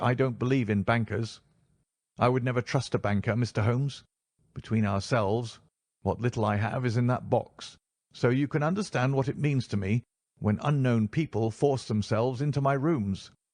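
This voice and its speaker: A man uses a shaky, put-on character voice at medium pitch with ordinary variation. He talks at a moderate pace against a quiet background. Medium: read story. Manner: nervous.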